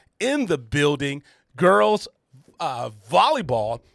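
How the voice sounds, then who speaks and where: In a very clean recording with a silent background, a man talks at a fairly slow pace in an energetic, bright, sharp tone. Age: 50s. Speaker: sports radio host and coach. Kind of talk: radio interview.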